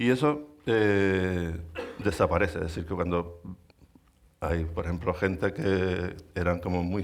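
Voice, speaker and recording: This man's voice sits at a very deep, low pitch with ordinary pitch variation. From Canary Islands, Lanzarote. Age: 60s. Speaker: artist. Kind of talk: public conversation. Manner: halting.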